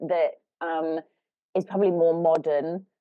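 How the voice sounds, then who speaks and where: With a British accent, a woman talks at a moderate pace in a fairly low pitch. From Britain. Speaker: life coach, podcast co-host. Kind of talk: casual podcast conversation.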